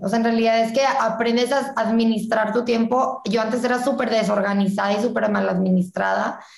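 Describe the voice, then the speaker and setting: Moderate-paced speech from a woman, fairly high-pitched with ordinary pitch variation, in audible room echo. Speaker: student entrepreneur. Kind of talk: casual interview chat.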